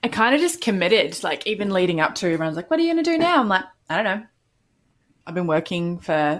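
A woman with a slight New Zealand accent on a very clean recording with a silent background. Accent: mild New Zealand. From New Zealand, Canterbury. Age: 30s. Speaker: business coach. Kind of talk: casual interview.

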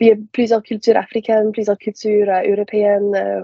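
Speaking with an English accent, a woman keeps a medium pitch and a monotone, flat intonation. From Prince Edward Island (Summerside). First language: English (speaking French). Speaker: university student. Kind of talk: casual interview.

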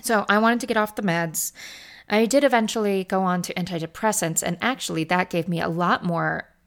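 A woman's voice at medium pitch with ordinary pitch variation. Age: 30s. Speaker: podcast host. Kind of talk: solo monologue. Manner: halting.

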